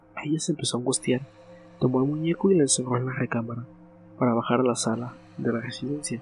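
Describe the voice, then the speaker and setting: Music plays in the background while the speech runs at a very fast pace with ordinary pitch variation. Long, frequent pauses break it up. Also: man, medium pitch for a man. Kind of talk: ghost story narration, hushed bedtime storytelling read aloud to help listeners relax.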